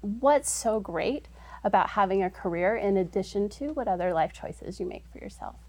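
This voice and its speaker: Fairly quick speech from a woman with an American accent. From Utah, Salt Lake area. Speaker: startup executive. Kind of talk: interview.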